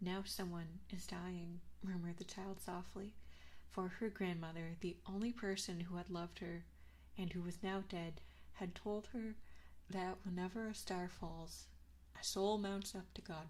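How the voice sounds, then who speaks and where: A woman speaks fairly low and somewhat breathy. Her intonation stays monotone and flat. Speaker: ASMR vtuber streamer. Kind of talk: storybook reading, fairy tale narration. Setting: binaural 3D microphone. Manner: soft, soothing, whispered.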